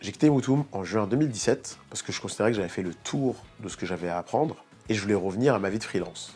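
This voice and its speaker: Music plays in the background as a man speaks at a very fast pace. His fairly low voice has lively intonation. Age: 30s. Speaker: developer and startup co-founder. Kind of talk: documentary interview.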